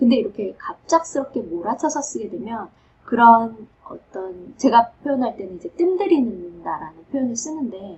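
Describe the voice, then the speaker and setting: Over noticeable background noise, a woman with a fairly high pitch speaks at a moderate pace, showing very wide pitch swings and big swings in loudness. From South Korea. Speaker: professor. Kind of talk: advice talk.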